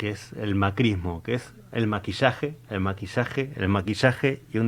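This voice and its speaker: Ordinary pitch variation marks a normal speaking voice. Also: man. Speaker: local political candidate. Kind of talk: political interview.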